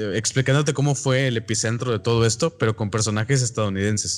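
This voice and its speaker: Medium-pitched male speech in a Mexican accent at a moderate pace, on a very clean recording with a silent background. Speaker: film podcast co-host. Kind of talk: casual chat.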